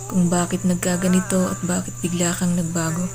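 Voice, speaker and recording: A woman talks at a fairly slow pace and a fairly low pitch. There is music in the background. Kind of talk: spoken word poetry. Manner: emotional, pleading.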